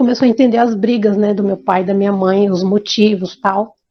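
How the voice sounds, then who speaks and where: Her intonation is monotone and flat as a woman speaks at a medium pitch. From Brazil, Bahia. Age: 50s. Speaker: interviewee telling life story. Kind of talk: life story testimony. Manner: halting, with repetitions and restarts.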